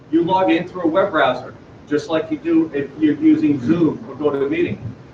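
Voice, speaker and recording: The man's voice sits fairly high, and its pitch moves in an ordinary way. He keeps a moderate pace over noticeable noise in the background. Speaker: startup presenter. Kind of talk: pitch presentation. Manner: loud.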